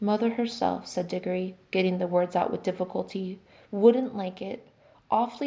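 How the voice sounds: Here we have a natural reading voice.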